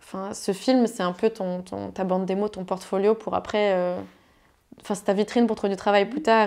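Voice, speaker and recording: A woman's dark, mellow voice at a moderate pace, with monotone, flat intonation and a quiet background. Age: 20s. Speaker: climate activist and illustrator. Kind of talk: casual conversation. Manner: hesitant, many fillers.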